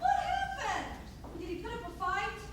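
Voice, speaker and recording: A woman's squeaky, put-on character voice at an extremely high pitch and a moderate pace, with strong echo and loud background noise. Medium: stage play. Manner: brusque, bossy.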